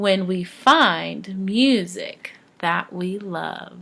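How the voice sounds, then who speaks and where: Using a put-on character voice, a woman speaks at a medium pitch. Her pace is very slow. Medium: read story.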